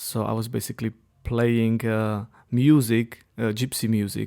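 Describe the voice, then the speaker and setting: At a fairly slow pace, a man speaks at a fairly low pitch with monotone, flat intonation on a very clean recording with a silent background. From Czech Republic. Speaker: pianist. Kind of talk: interview.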